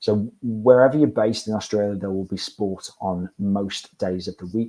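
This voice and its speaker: With a British accent, a man speaks at a moderate pace in a dark, mellow tone with ordinary pitch variation. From UK. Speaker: university staff presenter. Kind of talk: webinar presentation. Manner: repeats words, halting.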